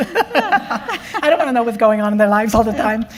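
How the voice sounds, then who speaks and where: With a strong Dutch accent, a woman speaks using lively intonation. Noticeable background noise can be heard. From Netherlands. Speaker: spiritual care clinician. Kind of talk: interview at town hall.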